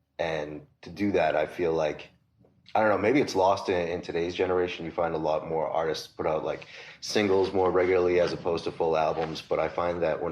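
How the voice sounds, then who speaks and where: Talking at a fairly quick pace, a man with a Boston accent keeps a very deep, low pitch and fairly even intonation. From Massachusetts, south of Boston. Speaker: record store owner. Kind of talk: casual interview.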